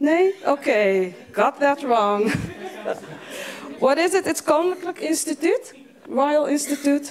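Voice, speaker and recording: At a very slow pace, a woman speaks in a high pitch with very wide pitch swings and very even loudness, leaving long, frequent pauses. Noticeable background noise runs underneath. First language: Moroccan Tamazight (Berber), then Dutch. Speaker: event moderator. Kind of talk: event moderation. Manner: halting.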